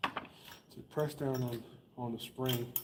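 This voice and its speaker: There is noticeable background noise and audible room echo. A man at medium pitch speaks in a monotone, flat intonation. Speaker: small engine mechanic hosting a repair channel. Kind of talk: live-stream repair tutorial. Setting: live stream. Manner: slow.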